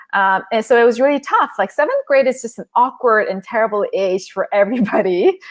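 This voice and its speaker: A woman speaks with a Korean accent. Her pace is fairly quick. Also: fairly high pitch for a woman, ordinary pitch variation. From South Korea and Southern California. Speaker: author and former corporate lawyer. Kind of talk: interview on a live stream.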